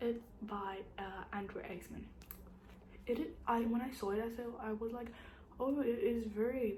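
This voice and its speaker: With long, frequent pauses at a moderate pace, a woman with a fairly high voice keeps a fairly even intonation over noticeable background noise and audible room echo. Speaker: booktuber. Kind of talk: casual monologue to camera. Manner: halting, many fillers.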